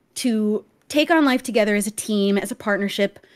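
A plain, everyday voice from a woman, fairly high in pitch, with ordinary pitch variation, a moderate pace, and a very clean recording over a silent background. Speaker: fellow streamer. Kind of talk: serious conversation about abuse and healing.

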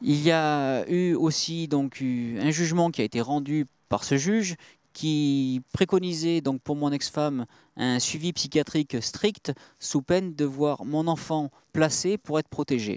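A man's fairly high voice with ordinary pitch variation, at a very slow pace, dry and close with no echo, in a very clean recording over a silent background. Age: 30s. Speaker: father on hunger strike. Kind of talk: testimony. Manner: halting, many hesitations.

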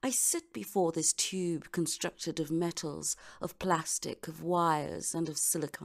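With vocal fry and fairly even intonation, the speaker moves at a fairly slow pace and hardly pauses at all. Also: woman, fairly low pitch for a woman. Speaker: voice over artist. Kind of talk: voice-over monologue sample. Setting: studio.

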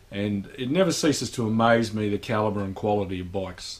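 A man with an unremarkable speaking voice talks fairly quickly at a fairly low pitch with ordinary pitch variation. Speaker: motorcycle vlogger. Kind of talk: casual vlog chat. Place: garage. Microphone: camera far.

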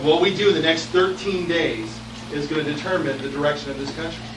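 A man talks at a fairly quick pace with ordinary pitch variation over noticeable background noise. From California, US. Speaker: political candidate. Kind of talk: rally speech, stump speech. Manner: earnest, rallying, emphatic. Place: hall.

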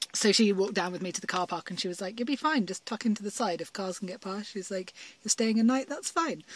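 The dry sound carries a woman speaking at a very fast pace with ordinary pitch variation. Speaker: solo van life vlogger. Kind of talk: casual vlog chat. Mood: cheerful, chatty storytelling. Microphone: phone near.

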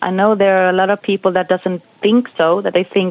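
A woman with a Swedish accent talks at a moderate pace. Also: dry sound with no echo. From Sweden. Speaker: jazz singer. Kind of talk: interview. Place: studio.

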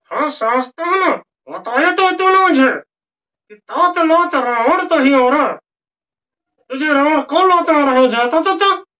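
A man puts on a character voice pitched extremely high, talking at a moderate pace. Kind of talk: comedy sketch.

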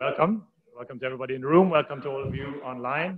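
The pace of this man's speech is very fast. Pitch shifts in an ordinary way. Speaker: university faculty host. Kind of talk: speaker introduction. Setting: stage with audience. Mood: warm, lightly joking. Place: hall.

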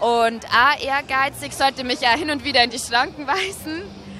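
Over crowd noise, a woman uses a raised, projected voice at high pitch, moving at a fairly slow pace with ordinary pitch variation in a dry sound with no echo. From Bavaria, Regensburg area; Bavaria. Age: 20s. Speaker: dating show candidate; candidate. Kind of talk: casual interview. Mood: cheerful, laughing. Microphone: handheld.

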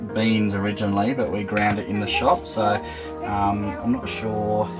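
Clear music plays behind a man. He speaks at a moderate pace with a fairly low pitch. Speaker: travel vlogger. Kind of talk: casual vlog chat tutorial. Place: kitchen.

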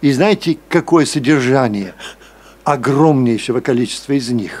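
A man talks fairly slowly at a fairly high pitch, his pitch varying in an ordinary way. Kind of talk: academic discussion remarks. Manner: impassioned. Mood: critical, persuasive. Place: meeting room.

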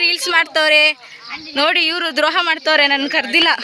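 Raising and projecting her voice, a woman speaks at a high pitch with fairly even intonation. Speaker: vlogger. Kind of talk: casual vlog narration.

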